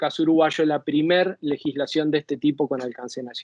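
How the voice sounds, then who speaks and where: With a normal speaking voice pitched fairly high, a man keeps a moderate pace and shows ordinary pitch variation. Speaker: former drug policy official. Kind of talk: conference talk. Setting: virtual conference.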